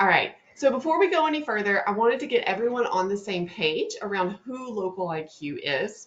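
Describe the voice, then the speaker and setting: Fairly quick Southern US-accented delivery with very wide pitch swings and hardly any pauses. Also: woman, fairly high pitch for a woman. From US South, North Louisiana. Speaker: webinar host, marketing presenter. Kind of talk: live webinar presentation. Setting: online webinar. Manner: fast; upbeat, friendly.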